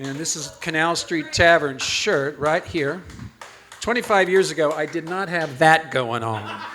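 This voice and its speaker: Over noticeable background noise, the speech moves at a fairly slow pace with ordinary pitch variation. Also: man, fairly high pitch for a man. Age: 70s. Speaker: poet. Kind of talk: poetry reading. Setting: stage with audience.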